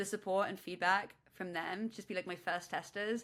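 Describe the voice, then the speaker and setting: Here a woman speaks at a medium pitch with a bright, sharp tone and monotone, flat intonation. The recording is very clean, with a silent background. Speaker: startup founder. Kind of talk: interview. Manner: loud.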